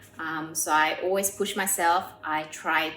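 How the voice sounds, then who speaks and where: Background music is playing. Over it, a woman talks. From Korea, raised in Australia. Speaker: pianist and composer. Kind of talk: interview answer.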